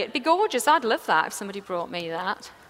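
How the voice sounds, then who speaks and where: A woman races along at a very fast pace in an enthusiastic tone, her pitch swinging very widely. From England. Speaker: floral designer. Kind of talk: live demonstration talk to audience. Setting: stage, live audience. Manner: enthusiastic, chatty.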